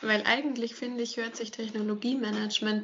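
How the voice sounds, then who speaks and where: Noticeable background noise is present while a woman is talking. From Franconia, between Nuremberg and Würzburg. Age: 20s. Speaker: podcast host, industrial engineer. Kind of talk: casual chat.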